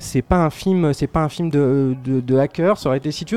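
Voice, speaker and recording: With ordinary pitch variation, a man moves at a fairly quick pace in a quiet background. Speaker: film critic. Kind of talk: casual chat. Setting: pub.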